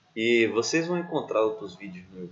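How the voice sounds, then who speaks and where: A man with an ordinary speaking voice talks at a fairly low pitch and a moderate pace. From Bahia, Brazil. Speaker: doctoral student, researcher. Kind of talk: educational lecture.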